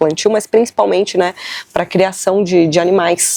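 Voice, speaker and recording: Dry and close with no echo, this woman's voice has a dark, mellow tone. Her pitch is fairly low and her intonation fairly even. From southern Brazil, Uruguaiana, Rio Grande do Sul border. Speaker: podcaster. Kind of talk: solo podcast monologue. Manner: casual, many fillers and self-corrections.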